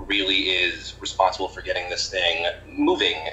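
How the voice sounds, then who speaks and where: With an American accent, a man talks at a fairly slow pace over noticeable background noise. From US Northeast. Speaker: history PhD candidate. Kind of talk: casual chat.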